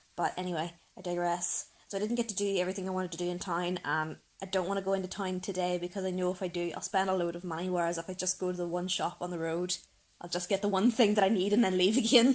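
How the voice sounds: The pace is fast and the intonation fairly even. The tone is slightly mellow. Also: woman, fairly low pitch for a woman.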